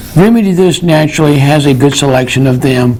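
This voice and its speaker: With a North Carolina accent, the voice comes through over noticeable background noise. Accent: Southern US (North Carolina). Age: 70s. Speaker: herbalist, natural health store owner and TV host. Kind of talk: local TV health talk. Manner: conversational, with fillers and hesitations.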